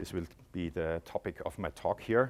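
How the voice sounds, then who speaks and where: A man with an Austrian accent at a moderate pace, on a very clean recording with a silent background. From Austria, Graz. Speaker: tech company product executive. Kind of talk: conference presentation. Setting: conference stage with audience.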